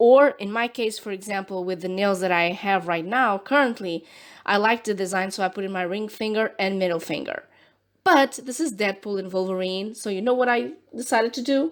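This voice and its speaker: A woman with a Portuguese accent at a moderate pace, on a very clean recording with a silent background. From Portugal. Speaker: nail art youtuber. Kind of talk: tutorial. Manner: animated.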